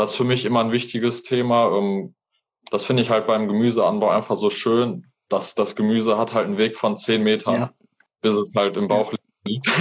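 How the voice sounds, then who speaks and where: This man has a plain, everyday voice at medium pitch, speaking at a moderate pace with fairly even intonation and very even loudness. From Hesse, Fulda. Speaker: gardener and YouTuber. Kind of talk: interview conversation. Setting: Instagram live video stream. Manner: casual, colloquial.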